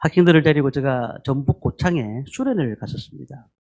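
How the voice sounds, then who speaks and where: A man's fairly high voice at a moderate pace, with a strong Gyeongsang accent. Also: dry, close sound with no echo. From Gyeongsang region, Korea. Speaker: pastor. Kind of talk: sermon. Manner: frequent filler hesitations.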